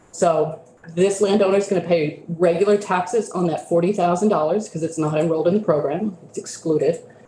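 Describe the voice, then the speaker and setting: A woman with a fairly low pitch talks at a fairly quick pace and with fairly even intonation, with audible room echo and light background noise. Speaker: state tax program manager. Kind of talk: committee testimony. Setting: legislative committee room. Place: meeting room.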